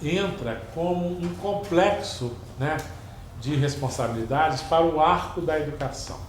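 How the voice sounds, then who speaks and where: A man speaks at a fairly slow pace with lively intonation, with audible room echo and noticeable background noise. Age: 60s. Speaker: museum curator. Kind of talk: lecture. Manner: hesitant, many fillers.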